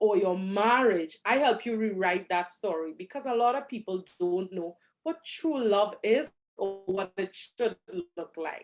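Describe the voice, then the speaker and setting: A woman speaks with a Trinidadian accent at a moderate pace. Her intonation is lively. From Trinidad and Tobago. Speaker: relationship coach. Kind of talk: interview.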